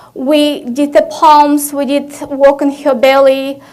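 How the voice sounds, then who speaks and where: Speaking in a Russian accent, a woman uses a high pitch at a fairly slow pace. Room echo is audible. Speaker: physician, conference speaker. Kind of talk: conference talk.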